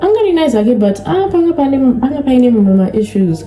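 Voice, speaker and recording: A soft-spoken woman with a Zimbabwean accent and lively intonation, amid noticeable background noise and audible room echo. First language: Shona. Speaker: YouTuber. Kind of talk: casual vlog chat. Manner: code-switching Shona and English.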